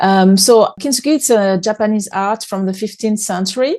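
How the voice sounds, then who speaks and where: A woman speaks in a French accent with a dark, mellow tone. The background is quiet. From France. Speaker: author and speaker. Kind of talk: interview conversation. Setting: podcast. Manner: hesitant, with repetitions.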